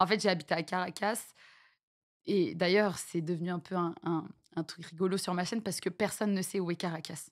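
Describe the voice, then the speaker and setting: Over a very clean recording with a silent background, a woman talks in a medium pitch with ordinary pitch variation. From France, with childhood years in Venezuela and French Guiana. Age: 30s. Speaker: streamer. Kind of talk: interview. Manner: halting.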